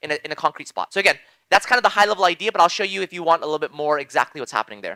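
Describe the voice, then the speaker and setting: A man speaks in a raised, projected voice with a bright, sharp tone. The recording is very clean with a silent background, and the sound is dry and close with no echo. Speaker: blockchain lecturer. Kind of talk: lecture. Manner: fast; halting.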